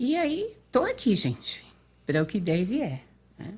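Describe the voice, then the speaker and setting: A woman's somewhat breathy voice moves at a fairly slow pace. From São Paulo state, Brazil (Limeira). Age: 60s. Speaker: interview guest. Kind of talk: podcast interview. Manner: halting.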